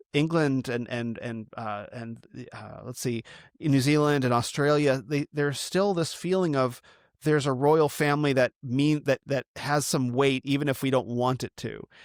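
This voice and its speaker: In an unremarkable speaking voice, a man with an American accent and fairly high pitch talks at a moderate pace with fairly even intonation, in a dry, close sound with no echo. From United States. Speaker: podcast host. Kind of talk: podcast interview.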